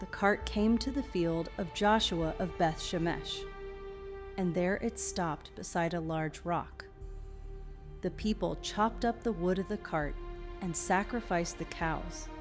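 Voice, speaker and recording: A soft-spoken woman at a fairly slow pace, music playing in the background. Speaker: Bible reader for sleep. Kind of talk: scripture reading. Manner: slow, peaceful.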